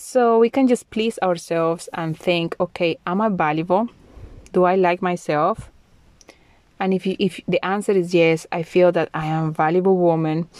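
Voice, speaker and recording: With a Spanish accent, a woman speaks at a moderate pace in a dry, close sound with no echo on a very clean recording with a silent background. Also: fairly low pitch for a woman, ordinary pitch variation. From Colombia. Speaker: podcast host. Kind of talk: solo monologue podcast.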